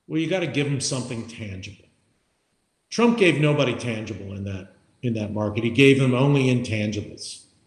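Speaking at a fairly quick pace, a man with a somewhat breathy voice at a medium pitch shows ordinary pitch variation. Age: 60s. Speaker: podcast co-host. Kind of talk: casual chat. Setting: remote recording.

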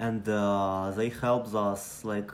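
A man speaks with a Ukrainian accent. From Ukraine. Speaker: refugee sharing his story. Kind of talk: personal testimony, recorded story. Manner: halting, searching for words.

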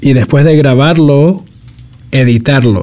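The man talks fairly slowly in a dark, mellow tone with fairly even intonation. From US, New York (South Bronx). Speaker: designer and podcaster. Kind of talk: casual interview.

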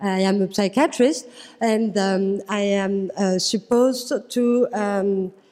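A woman is speaking. She has a French accent. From France. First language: French (speaking German). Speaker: psychiatrist. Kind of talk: workshop moderation. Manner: halting.

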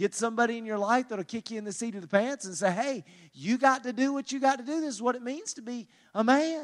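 With a Southern US accent, a man talks at an extremely high pitch and a very fast pace, using ordinary pitch variation. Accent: US South. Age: 40s. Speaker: pastor and marriage conference speaker. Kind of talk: conference talk.

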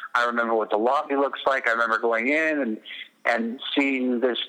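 At a moderate pace, a man talks in a normal speaking voice. His intonation is fairly even and his pitch medium. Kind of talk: casual interview chat. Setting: remote call interview.

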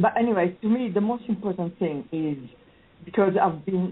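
With an Italian accent, a woman speaks at a moderate pace. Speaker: political panelist and writer. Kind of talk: radio panel discussion.

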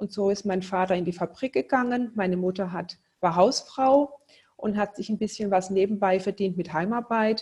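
A woman speaks at a moderate pace and a medium pitch with ordinary pitch variation. Her voice is somewhat breathy. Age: 50s. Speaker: entrepreneur. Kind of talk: interview.

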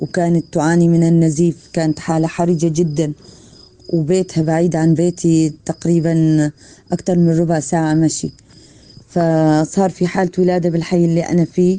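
The voice has a dark, mellow tone and very even loudness, moving at a moderate pace with monotone, flat intonation. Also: woman, fairly low pitch for a woman. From Syria, Palmyra. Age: 40s. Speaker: midwife. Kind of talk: testimony.

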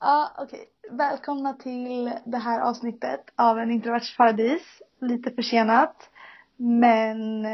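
A woman speaks at a high pitch with fairly even intonation. Her pace is fairly slow. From Sweden. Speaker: podcast host. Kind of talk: casual chat.

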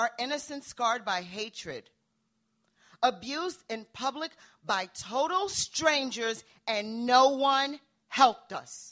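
Lively intonation and big swings in loudness mark this very slow delivery, broken by long, frequent pauses. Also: woman, high pitch for a woman. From Nigeria. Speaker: hip hop artist. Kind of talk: storytelling performance; casual chat. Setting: stage with audience.

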